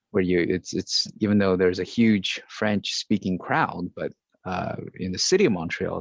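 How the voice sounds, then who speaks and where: The sound is dry and close, with no echo. A man with a non-native accent talks at a moderate pace. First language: not English. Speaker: podcast host. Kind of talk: interview.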